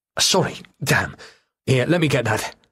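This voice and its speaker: In a raspy put-on character voice with a nervous tone, a man speaks at a moderate pace and a medium pitch. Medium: read story. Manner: nervous, halting.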